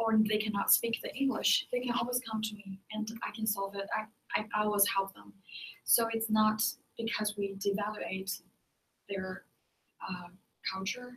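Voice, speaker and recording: Delivered in a Chinese accent, the speech goes at a moderate pace. Long, frequent pauses break it up. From China. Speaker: ESL teacher. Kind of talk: group discussion. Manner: halting.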